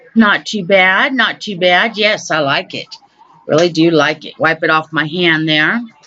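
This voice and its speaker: This woman speaks at a fairly slow pace in a fairly low voice, with ordinary pitch variation, big swings in loudness, and noticeable background noise. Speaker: beauty vlogger. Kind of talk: makeup tutorial voice-over. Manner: louder than usual; casual, hesitant with ums.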